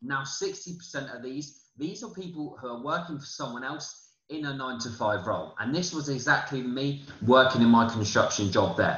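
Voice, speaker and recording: A man speaks with a British accent, his pitch fairly high and its variation ordinary. His loudness swings widely, and the room echo is audible. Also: moderate pace. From UK. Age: 20s. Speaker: forex trading promoter. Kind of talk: sales pitch. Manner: halting. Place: home room. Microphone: webcam.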